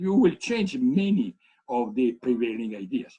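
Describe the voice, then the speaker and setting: An Italian accent from a man, dark and mellow in tone, fairly slow, with very wide pitch swings. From Italy. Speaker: economics professor. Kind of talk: keynote lecture. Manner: halting.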